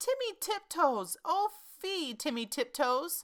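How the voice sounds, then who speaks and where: A woman uses a put-on character voice that is high and squeaky, swinging very widely in pitch at a fairly slow pace. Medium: read story. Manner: gentle, polite.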